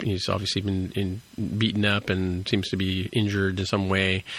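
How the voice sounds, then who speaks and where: At a moderate pace, a man speaks in a fairly low pitch, an ordinary speaking voice. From Toronto, Canada. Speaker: podcast host. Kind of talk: casual chat.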